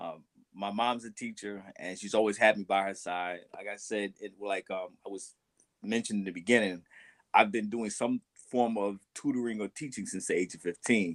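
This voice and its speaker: A man speaks at a moderate pace in an ordinary speaking voice, fairly low-pitched with fairly even intonation and big swings in loudness. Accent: American. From United States. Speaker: teacher. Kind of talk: panel discussion.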